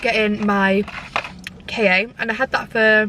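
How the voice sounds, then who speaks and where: A woman can be heard speaking over noticeable background noise. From northern England, Scunthorpe (Lincolnshire). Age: 20s. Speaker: vlogger. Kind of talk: casual Q&A vlog chat. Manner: chatty, many fillers.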